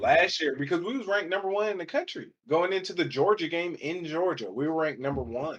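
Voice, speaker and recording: Speaking at a very fast pace with hardly any pauses, a man with an American accent uses lively intonation and a high pitch. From Michigan, US Midwest. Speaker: college football player. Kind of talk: casual chat.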